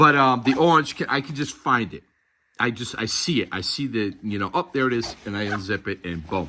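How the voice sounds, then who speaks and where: Speaking with a Boston accent, a man talks at a fairly quick pace and medium pitch, his tone bright and sharp and his intonation lively. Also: very clean recording, silent background. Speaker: gear reviewer. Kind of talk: product review tutorial. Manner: casual, halting with fillers.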